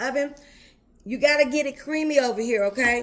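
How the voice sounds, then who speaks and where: In a high, animated voice, a woman speaks at a moderate pace with ordinary pitch variation. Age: 50s. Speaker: home cooking youtuber. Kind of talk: cooking tutorial. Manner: animated, chatty.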